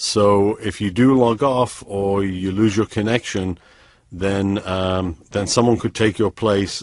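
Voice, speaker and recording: With a slight British accent, a man speaks at a fairly low pitch with fairly even intonation. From US, San Francisco. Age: 30s. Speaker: online trading promoter. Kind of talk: sales pitch. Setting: webinar.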